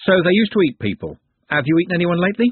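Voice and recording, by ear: A man's put-on character voice, high-pitched and fast, with a slightly husky edge, big pitch swings, and a dry, close sound with no echo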